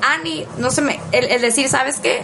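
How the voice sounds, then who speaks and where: Over noticeable background noise, a woman with a high pitch speaks at a fairly slow pace. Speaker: podcast co-host. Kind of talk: casual chat.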